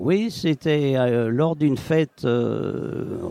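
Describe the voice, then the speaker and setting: A man speaks at a very slow pace in a dark, mellow tone. The sound is dry and close, with no echo. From Savoy, France. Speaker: retired dialect author. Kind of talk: interview answer. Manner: hesitant.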